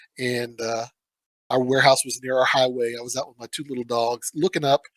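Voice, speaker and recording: A medium-pitched man at a fairly quick pace, with big swings in loudness and a dry, close sound with no echo. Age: 50s. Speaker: toy shop owner. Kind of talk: casual chat. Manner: animated.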